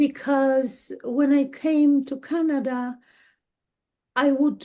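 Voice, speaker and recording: Speaking very slowly in a Polish accent, a woman has a high pitch, a dark, mellow tone and monotone, flat intonation. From Poland. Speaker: dowser and healer. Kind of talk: interview. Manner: halting.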